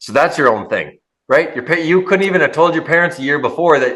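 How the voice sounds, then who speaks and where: A man with a bright, sharp tone, animated, with ordinary pitch variation. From Minnesota, US. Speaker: podcast host. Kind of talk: casual interview chat.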